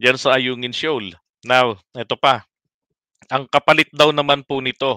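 Against a quiet background, a man with a bright, sharp tone speaks at a fairly slow pace with fairly even intonation, and the sound is dry with no echo. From Philippines. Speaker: political commentary livestreamer. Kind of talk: live stream commentary. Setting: late-night live stream.

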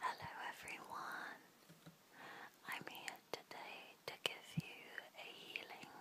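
Long pauses come often as the speaker whispers very slowly. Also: woman. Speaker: ASMR artist and tarot reader. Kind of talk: guided relaxation. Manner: whispered; soft-spoken, slow.

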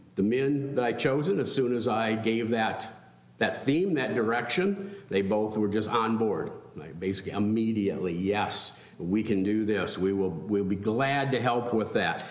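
With audible room echo, a man talks at a moderate pace with ordinary pitch variation. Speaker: pastor. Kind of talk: welcome remarks before a sermon. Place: church. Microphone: podium.

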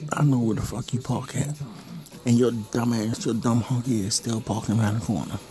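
Amid noticeable background noise, a man at a medium pitch speaks in a menacing tone at a fairly quick pace. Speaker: person filming meter readings. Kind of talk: angry rant, paranoid vlog-style tirade. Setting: home at night, recording in his house. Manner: seething, hostile, cursing and taunting; repetitive, accusatory, menacing. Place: home room. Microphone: phone near.

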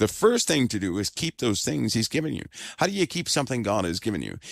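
A man's medium-pitched voice with vocal fry and very wide pitch swings, in a dry, close sound with no echo. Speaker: religious teacher / host of a faith-based fireside chat. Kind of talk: fireside chat / sermon-style talk to an audience. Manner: soft-spoken, calm.

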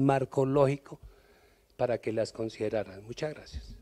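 In front of a quiet background, a man talks at a moderate pace with a dark, mellow tone and ordinary pitch variation. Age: old. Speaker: audience member. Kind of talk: audience question. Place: hall. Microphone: handheld.

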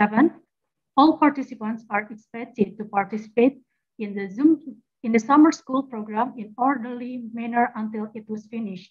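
A woman with an Indonesian accent speaks at a fairly high pitch with ordinary pitch variation and big swings in loudness against a quiet background. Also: moderate pace. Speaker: master of ceremony; event host, moderator. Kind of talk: formal event hosting. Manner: formal. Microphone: video call.

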